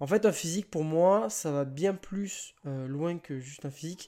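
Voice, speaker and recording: This man's voice is fairly high in pitch, with a dark, mellow tone and ordinary pitch variation. He talks at a moderate pace in a very clean recording with a silent background. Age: 20s. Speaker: online fitness coach and podcast host. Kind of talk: solo podcast monologue. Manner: casual, with frequent hesitations. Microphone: new microphone, first use.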